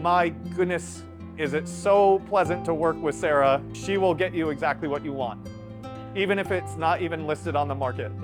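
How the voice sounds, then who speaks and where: Very wide pitch swings at a moderate pace, with music in the background. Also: man, fairly high pitch for a man. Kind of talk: client testimonial to camera.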